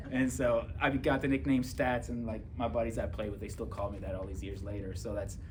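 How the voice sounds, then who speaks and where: There is noticeable background noise and audible room echo. A man speaks at a fairly quick pace. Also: hardly any pauses. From Germany. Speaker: police officer and author. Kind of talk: testimony. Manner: casual, filler-heavy.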